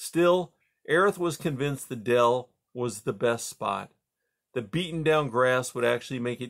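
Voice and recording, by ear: With a quiet background, someone is reading aloud in a natural voice, the pitch varying in an ordinary way.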